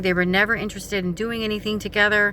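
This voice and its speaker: A woman at medium pitch and a very fast pace. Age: 40s. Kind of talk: casual talk to camera.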